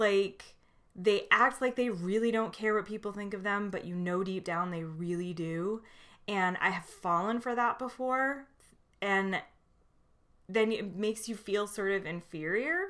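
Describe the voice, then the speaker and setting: In a very clean recording with a silent background, a woman talks at a fairly slow pace in a normal speaking voice, with a medium pitch and ordinary pitch variation. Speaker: book reviewer. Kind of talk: casual monologue book review. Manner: casual, many fillers.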